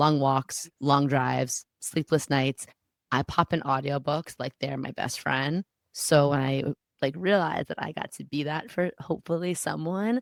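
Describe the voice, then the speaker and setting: A woman speaks with a very deep, low pitch and ordinary pitch variation. The recording is very clean with a silent background, and the sound is dry and close with no echo. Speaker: astrologer and author. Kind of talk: podcast interview. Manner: fast; animated.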